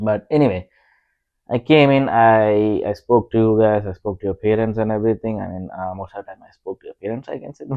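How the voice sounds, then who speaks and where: Speaking with an Indian accent, a man keeps a fairly even intonation at a fairly low pitch while his loudness swings widely. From rural India. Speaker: podcast co-host. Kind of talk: casual chat. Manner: halting, many fillers.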